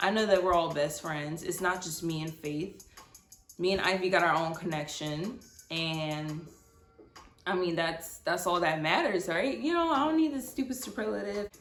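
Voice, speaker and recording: With music in the background and audible room echo, a woman with a fairly low pitch speaks at a moderate pace using lively intonation. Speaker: storytime vlogger. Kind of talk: storytelling monologue. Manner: casual, filler-heavy.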